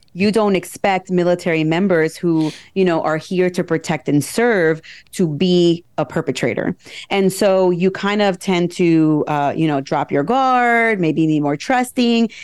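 A woman with a plain, everyday voice and an American accent, fairly low in pitch, fairly slow in pace, with ordinary pitch variation, very even loudness and a quiet background. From New Jersey. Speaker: military lawyer and true crime podcaster. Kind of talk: casual interview.

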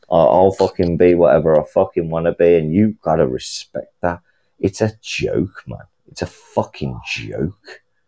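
This man has a British accent and speaks at a moderate pace. The sound is dry and close, with no echo. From UK. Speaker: caller. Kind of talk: heated rant. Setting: call-in. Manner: loud.

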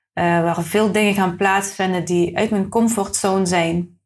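In a very clean recording with a silent background, a woman talks in a somewhat breathy, medium-pitched voice with monotone, flat intonation. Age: 30s. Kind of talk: casual interview. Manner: halting.

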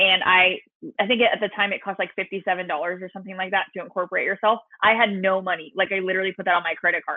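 Speaking very fast in a Californian accent, a woman holds a medium pitch with monotone, flat intonation. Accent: General American (California). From Southern California. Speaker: social media marketing coach. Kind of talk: podcast interview.

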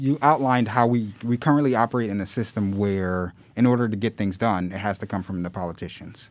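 With a plain, everyday voice, a man speaks at a fairly quick pace and a fairly low pitch with ordinary pitch variation and hardly any pauses, in a very clean recording with a silent background. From Philadelphia. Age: 30s. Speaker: community organizer and activist. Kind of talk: podcast interview.

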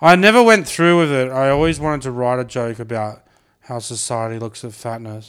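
A medium-pitched man with an Australian accent, fairly quick pace and ordinary pitch variation, in a very clean recording with a silent background. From Brisbane, Australia. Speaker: podcast host. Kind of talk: casual chat.

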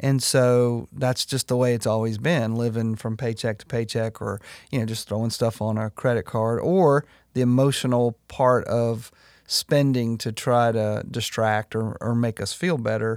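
A normal speaking voice at a moderate pace, with fairly even intonation and a dry, close sound with no echo, on a very clean recording with a silent background. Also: man, medium pitch for a man. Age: 40s. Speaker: pastor. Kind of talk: casual chat.

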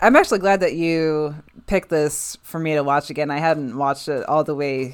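At a moderate pace, a woman with a fairly low pitch speaks in a normal speaking voice. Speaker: podcast co-host. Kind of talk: casual chat.

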